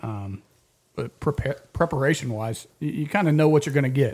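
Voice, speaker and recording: A man talks at a moderate pace in a dark, mellow tone. His voice is somewhat breathy, with ordinary pitch variation. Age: 20s. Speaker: fill-in football analyst. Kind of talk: casual sports chat. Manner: repetitive, halting.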